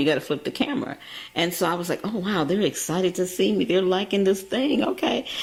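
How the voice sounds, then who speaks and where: A woman's voice swings very widely in pitch. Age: 60s. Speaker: radio and web TV host. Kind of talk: interview.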